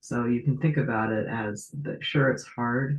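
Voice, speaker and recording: A man speaks quietly at a medium pitch and a moderate pace. His voice is somewhat breathy, with fairly even intonation. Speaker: tarot reader. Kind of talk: casual talk to camera.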